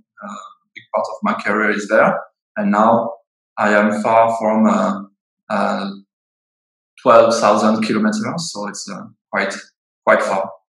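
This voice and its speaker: A man with a French accent speaks at a fairly slow pace with long, frequent pauses. His loudness swings widely. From France, Bordeaux area. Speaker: winemaker. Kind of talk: webinar interview. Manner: halting, many fillers and restarts.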